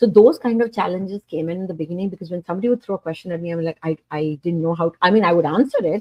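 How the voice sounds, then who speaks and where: A woman with fairly low pitch and ordinary pitch variation talks at a very fast pace with hardly any pauses. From India. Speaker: online business owner. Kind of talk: interview answers.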